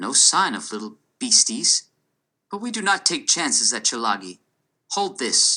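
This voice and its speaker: At a moderate pace, a robotic, put-on character voice speaks with long, frequent pauses. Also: man, high pitch for a man. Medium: read story. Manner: clipped, precise, almost mechanical.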